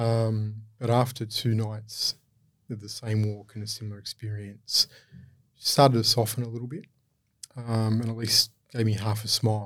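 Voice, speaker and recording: A somewhat breathy man's voice at medium pitch, monotone and flat, moderate in pace, with long, frequent pauses and big swings in loudness. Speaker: charity CEO. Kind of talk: interview.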